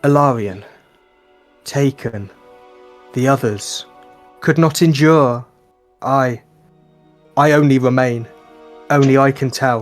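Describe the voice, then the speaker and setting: Using a put-on character voice, a man speaks shakily at a medium pitch and fairly slow pace, with fairly even intonation, very even loudness and long, frequent pauses, as faint music plays in the background. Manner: trembling, fearful.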